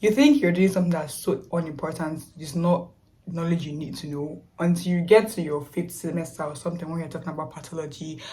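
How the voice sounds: Speaking at a fairly quick pace, a woman with a fairly low pitch and a slightly mellow tone is heard against audible room echo.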